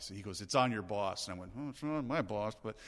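Very fast and with lively intonation, a man talks at a fairly low pitch in a very clean recording over a silent background. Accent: American. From US Midwest. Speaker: radio talk show host. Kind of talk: casual chat over drinks.

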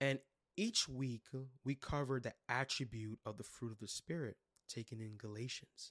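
A man speaks with a New York accent. The sound is dry and close, with no echo. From Brooklyn, New York. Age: 20s. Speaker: youth leader and podcast host. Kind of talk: solo podcast teaching talk. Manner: casual, enthusiastic.

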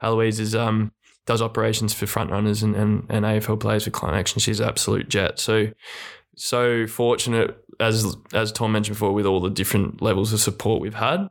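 A man with an Australian accent, fairly low in pitch, monotone and flat, with very even loudness. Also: fairly quick pace. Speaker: retired footballer. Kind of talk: casual chat. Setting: studio.

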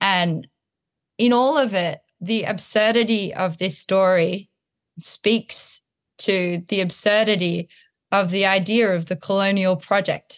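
A woman with a slight rural Australian accent, medium-pitched, fairly slow and fairly even in intonation, her loudness very even, over a quiet background. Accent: Australian, slight country twang. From Townsville, Australia. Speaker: artist and choreographer. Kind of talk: interview conversation.

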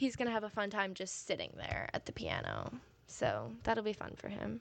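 In a very clean recording with a silent background, a woman uses a normal speaking voice at a fairly high pitch and a moderate pace. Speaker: college music student and podcaster. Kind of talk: casual solo chat. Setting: home recording. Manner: rambling with many fillers.

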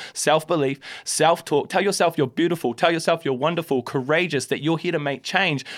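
With a New Zealand accent, a man speaks using ordinary pitch variation. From New Zealand, Christchurch. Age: 30s. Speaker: hip-hop artist. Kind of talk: casual chat. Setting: studio.

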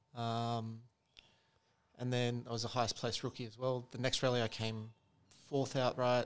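On a very clean recording with a silent background, a man with an Australian accent speaks at a fairly quick pace and medium pitch. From Sydney, Australia. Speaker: podcast guest. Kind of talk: casual chat. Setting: apartment.

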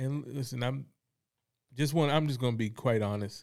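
A man with an American accent and a medium-pitched voice talks at a fairly quick pace. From North Carolina, Fayetteville. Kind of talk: faith discussion.

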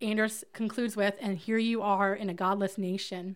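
In a very clean recording with a silent background, a woman with an American accent speaks at a moderate pace, her fairly high pitch held in fairly even intonation. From US South, Alabama. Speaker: ministry leader. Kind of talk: interview about faith.

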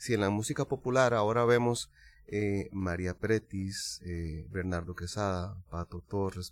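With a Costa Rican accent, a man talks at a fairly slow pace and a fairly low pitch, with ordinary pitch variation, in a very clean recording with a silent background. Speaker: singer-songwriter. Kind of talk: casual chat.

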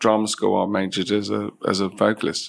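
Speaking with a London accent, a man keeps a fairly quick pace. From East London (Isle of Dogs). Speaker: facilities and estate management director. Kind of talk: interview.

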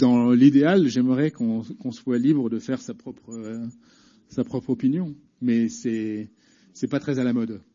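A man talks at a very slow pace. His voice sits at a medium pitch with ordinary pitch variation. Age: 40s. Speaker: journalist. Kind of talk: public debate. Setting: prison hall with audience.

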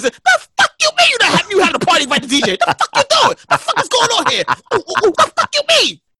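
A man's put-on character voice at an extremely high pitch, with very wide pitch swings and a moderate pace. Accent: Brooklyn. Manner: indignant, aggressive.

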